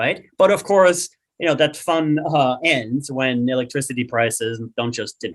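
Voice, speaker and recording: A man speaks with an Austrian accent at a moderate pace. His medium pitch shows ordinary variation. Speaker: climate economist. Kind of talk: webinar discussion. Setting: webinar.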